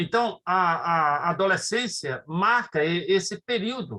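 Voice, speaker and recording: Speaking at a very slow pace, a man uses a high pitch, a bright, sharp tone, and lively intonation. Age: 60s. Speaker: pastor. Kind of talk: lecture. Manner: halting.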